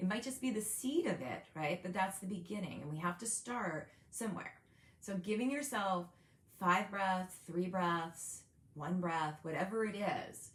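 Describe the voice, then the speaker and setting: A woman's medium-pitched, plain, everyday voice at a fairly slow pace with ordinary pitch variation. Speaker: meditation guide. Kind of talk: guided meditation. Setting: video recording.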